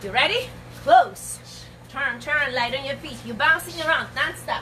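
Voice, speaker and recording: A woman speaks over noticeable background noise. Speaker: fitness instructor. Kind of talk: workout instruction. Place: garden. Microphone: camera far.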